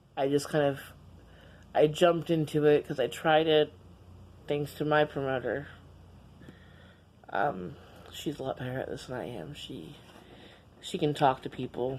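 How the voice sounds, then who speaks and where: Loudness swings widely in this speech, which has long, frequent pauses and ordinary pitch variation. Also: woman, very deep, low pitch for a woman, moderate pace. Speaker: vlogger. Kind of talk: casual vlog monologue. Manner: halting, repeating words.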